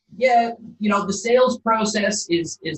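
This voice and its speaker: A man speaks with a slight Canadian accent. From Canada, Calgary, Alberta. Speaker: property developer. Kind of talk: interview.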